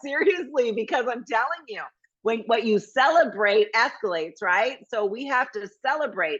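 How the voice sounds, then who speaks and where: A woman speaks with a fairly high pitch. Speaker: motivational speaker. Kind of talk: motivational workshop talk. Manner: fast; animated.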